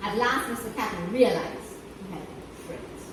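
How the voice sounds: Speech at a moderate pace, with audible echo from the room. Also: woman.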